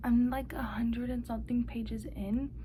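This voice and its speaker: Noticeable background noise and audible room echo surround the recording. A woman talks at a moderate pace within it. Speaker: book vlogger. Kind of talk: casual vlog. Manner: casual, filler-heavy.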